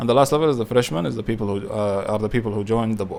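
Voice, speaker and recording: A man's pitch rises and falls in an ordinary way as he talks very fast. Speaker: youtuber explaining savings platforms. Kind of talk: tutorial. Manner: halting, many fillers.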